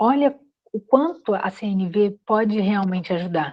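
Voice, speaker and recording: A woman's voice at medium pitch. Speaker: course instructor. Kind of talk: online class.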